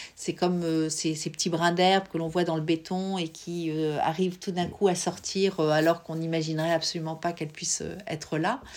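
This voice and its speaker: Over a very clean recording with a silent background, a woman speaks at a moderate pace in a flat monotone with a fairly low pitch. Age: 50s. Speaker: visual artist, former psychoanalyst. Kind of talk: interview. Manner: hesitant, with frequent fillers.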